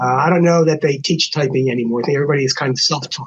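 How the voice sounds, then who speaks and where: A man speaks very fast in an American accent. His fairly high voice is somewhat breathy. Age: 70s. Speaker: lawyer, former bar association president. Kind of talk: casual podcast conversation. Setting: podcast recording.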